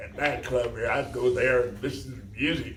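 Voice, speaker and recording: In a room with audible echo, a man is speaking. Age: 90s. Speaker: elderly father meeting his daughter. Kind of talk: casual family conversation. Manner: halting.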